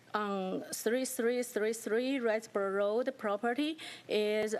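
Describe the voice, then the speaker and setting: A woman's fairly slow speech with a non-native accent and ordinary pitch variation. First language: not English. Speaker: petitioner, business owner. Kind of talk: public hearing testimony.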